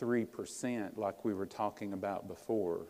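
A man's fairly low voice at a very slow pace. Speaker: guest preacher. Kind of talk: sermon. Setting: church.

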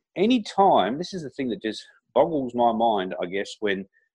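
Pitch swings very widely as this man talks. His pace stays moderate. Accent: Australian. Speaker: entrepreneur and motivational speaker. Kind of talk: interview.

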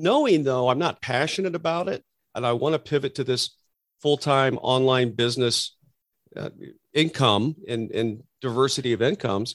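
In a very clean recording with a silent background and a dry, close sound with no echo, a man with an ordinary speaking voice talks at a moderate pace in a medium pitch with lively intonation. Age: 50s. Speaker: entrepreneur and army veteran. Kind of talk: interview.

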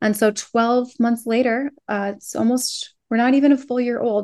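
This is a plain, everyday voice of a woman with an American accent, pitched fairly high, with fairly even intonation. She speaks at a moderate pace over a quiet background. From Minnesota. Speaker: online business coach and Etsy seller. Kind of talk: interview.

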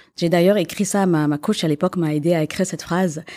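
A woman's dark, mellow voice at medium pitch, fairly quick, with ordinary pitch variation, on a very clean recording against a silent background. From Quebec. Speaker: business owner. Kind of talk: interview.

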